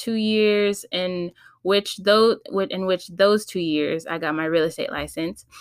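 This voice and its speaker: A woman with a Californian accent, medium pitch, ordinary pitch variation and a moderate pace. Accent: Californian American English. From California, San Fernando Valley (LA County). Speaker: podcast host. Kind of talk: casual solo podcast intro.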